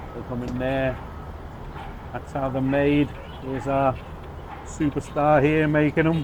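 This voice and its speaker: Fairly slow, flat monotone speech with long, frequent pauses amid noticeable background noise. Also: man, fairly high pitch for a man. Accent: Liverpool. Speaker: travel vlogger. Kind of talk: casual talk to camera. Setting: outdoors and in a bakery kitchen.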